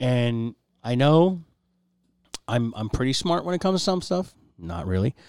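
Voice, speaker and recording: A man talks at a moderate pace and medium pitch, his tone animated with very wide pitch swings. Long, frequent pauses break up his speech. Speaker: podcast host. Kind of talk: casual chat.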